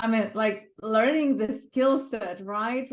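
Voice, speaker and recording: In a Lithuanian accent, a woman talks. Her pace is very slow. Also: quiet background. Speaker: world record project co-organiser. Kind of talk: interview reflection. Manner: halting, many fillers.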